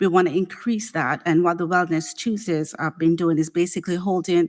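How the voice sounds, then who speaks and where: A woman's normal speaking voice, fairly low in pitch, at a moderate pace, on a very clean recording with a silent background. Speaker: city HR director. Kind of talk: budget presentation to city council.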